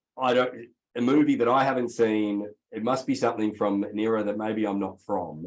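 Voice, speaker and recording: This man speaks with an Australian accent at a fairly low pitch. His pace is fairly quick and his intonation fairly even. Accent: Australian, noticeable twang. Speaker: real estate executive. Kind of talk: interview.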